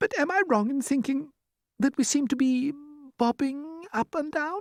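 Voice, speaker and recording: A soft-spoken, put-on character voice uses lively intonation at a moderate pace. The sound is dry and close, with no echo. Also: woman, high pitch for a woman. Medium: read story. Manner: polite, soft-spoken.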